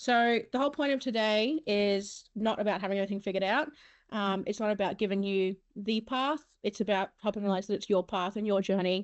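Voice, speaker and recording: Speaking with an Australian accent, a woman uses a medium pitch and ordinary pitch variation. Her pace is fairly quick and her loudness very even. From Mackay region, Queensland, Australia. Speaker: webinar host, comms and marketing worker. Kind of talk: moderating an online panel. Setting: online webinar. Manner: fast.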